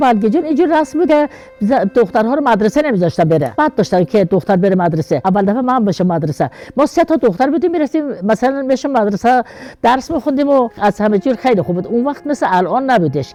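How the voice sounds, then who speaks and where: A woman speaks very fast in a fairly high voice, her loudness very even. Her pitch swings very widely. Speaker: mother of a martyr, village elder. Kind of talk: interview answer.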